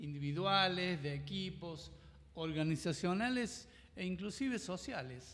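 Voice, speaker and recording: A high-pitched man at a fairly slow pace, with lively intonation. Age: 70s. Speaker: master coach. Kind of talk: casual chat.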